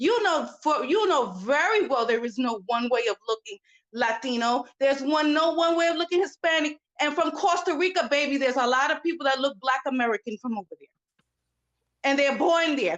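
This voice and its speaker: In a strong New York City accent, a woman talks fairly quickly at a high pitch with lively intonation, the sound dry and close with no echo. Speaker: panelist in a live stream discussion. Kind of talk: heated debate. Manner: loud; animated.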